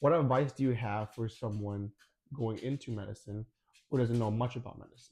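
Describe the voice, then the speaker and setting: A man speaks at a fairly quick pace and medium pitch, somewhat breathy, with fairly even intonation and big swings in loudness. The recording is very clean, with a silent background. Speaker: podcast host, medical student. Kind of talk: casual chat. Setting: eating food on camera.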